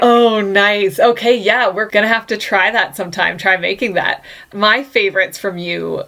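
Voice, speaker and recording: A woman with an unremarkable speaking voice, ordinary pitch variation, and a moderate pace. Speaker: podcast host. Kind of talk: casual podcast conversation.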